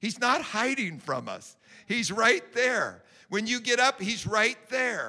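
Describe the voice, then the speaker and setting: Raising and projecting his voice, a man speaks very slowly at an extremely high pitch with a bright, sharp tone and ordinary pitch variation. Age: 60s. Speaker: prayer pastor. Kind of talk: sermon.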